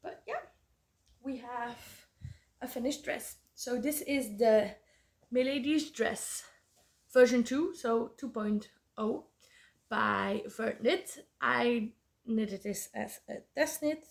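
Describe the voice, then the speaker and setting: A woman speaks very slowly in a Flemish accent, with long, frequent pauses. Her pitch is high, with ordinary variation. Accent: Belgian Dutch (Flemish) accent in English. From Belgium. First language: Dutch. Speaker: podcast host, knitter. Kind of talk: casual chat. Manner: halting, many fillers.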